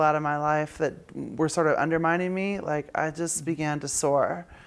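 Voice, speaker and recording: A woman speaks at a very deep, low pitch. Her intonation is monotone and flat. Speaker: actress and singer; actress. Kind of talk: casual interview. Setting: interview with lapel mics. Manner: halting; casual and profane. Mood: relaxed, reflective. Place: home room.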